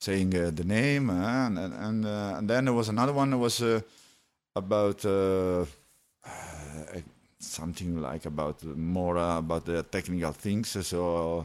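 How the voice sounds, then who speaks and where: Very deep, low male voice with an Italian accent, lively intonation and a fairly slow pace on a very clean recording with a silent background. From Italy. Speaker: techno DJ, former radio host. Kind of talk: casual interview. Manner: halting, many fillers.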